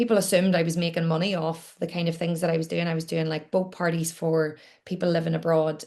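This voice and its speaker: In a Northern Irish accent, a woman with a fairly low pitch speaks in a monotone, flat intonation. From Northern Ireland, Newcastle, County Down. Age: 30s. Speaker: entrepreneur and podcaster. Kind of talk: interview.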